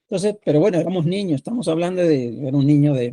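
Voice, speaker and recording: A man's fairly high voice, dark and mellow in tone, with a dry, close sound and no echo. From Argentina (Buenos Aires), born in Mexico. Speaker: sociologist and book editor. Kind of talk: podcast interview. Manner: halting, many fillers and repetitions.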